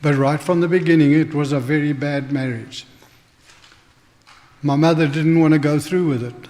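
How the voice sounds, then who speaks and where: A man with a southern African accent, fairly even intonation and long, frequent pauses, amid noticeable background noise. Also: fairly high pitch for a man, moderate pace. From Northern Rhodesia and South Africa. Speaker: church member giving testimony. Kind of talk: testimony sermon. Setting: church.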